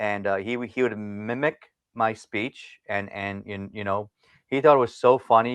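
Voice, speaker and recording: In a dry, close sound with no echo, a man speaks at a fairly slow pace with a Philadelphia accent. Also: quiet background. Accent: Philadelphia-area American. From US Northeast (Philadelphia area), Indian family. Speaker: martial arts teacher and speaker. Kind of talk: personal story in interview. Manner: halting with repetitions.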